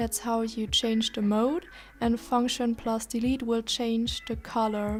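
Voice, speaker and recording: The speaker talks at a fairly slow pace with fairly even intonation in a German accent. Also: woman, fairly high pitch for a woman. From Germany. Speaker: tech reviewer. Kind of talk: product review.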